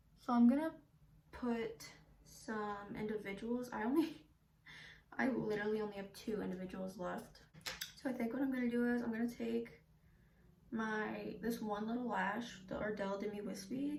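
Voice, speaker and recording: A woman's fairly high pitch at a moderate pace, with fairly even intonation, long, frequent pauses, noticeable background noise and audible room echo. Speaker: beauty vlogger. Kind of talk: makeup tutorial chat. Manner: whispering.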